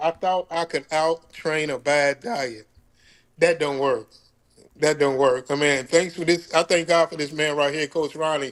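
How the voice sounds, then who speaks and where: A man speaks in a fairly high pitch at a fairly slow pace. The sound is dry and close with no echo, and the background is quiet. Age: 60s. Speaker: fitness coaching client. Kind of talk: interview. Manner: casual, halting with repetitions.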